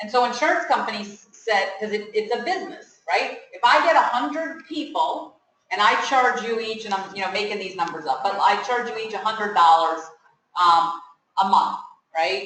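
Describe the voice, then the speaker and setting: Loud and bright with a sharp edge, a woman's fairly high voice swings very widely in pitch at a moderate pace, with audible room echo. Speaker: pharmacist speaker at student seminar. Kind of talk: informal talk to students. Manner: conversational, asks audience questions.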